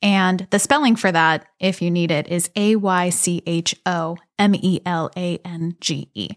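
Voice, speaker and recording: A woman with an American accent and a plain, everyday voice speaks at a fairly slow pace and fairly low pitch, with ordinary pitch variation and hardly any pauses, in a very clean recording with a silent background and a dry, close sound with no echo. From Pittsburgh area, Pennsylvania (South Hills). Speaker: bakery owner. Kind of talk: interview conversation.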